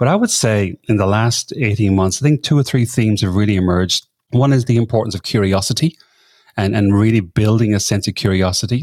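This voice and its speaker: A man talks at a fairly quick pace with an Irish accent, keeping his loudness very even. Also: fairly low pitch for a man, ordinary pitch variation. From Ireland. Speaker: leadership coach and podcaster. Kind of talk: interview.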